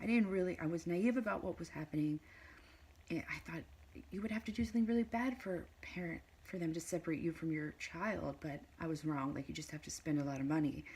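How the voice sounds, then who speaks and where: A woman talks at a very fast pace with lively intonation and a fairly low pitch. Her voice is quiet and somewhat breathy. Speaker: mother in custody dispute, vlogger. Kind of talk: personal testimony vlog. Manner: halting, many fillers.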